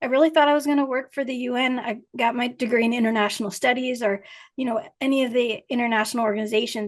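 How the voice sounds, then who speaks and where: A woman talks very fast at a fairly high pitch, her intonation fairly even, against a quiet background. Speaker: riding instructor and hypnotherapist. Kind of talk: interview.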